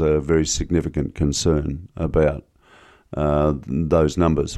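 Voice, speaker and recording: A man speaks in a very deep, low voice against a quiet background. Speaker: professor, historian. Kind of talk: interview conversation. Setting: studio.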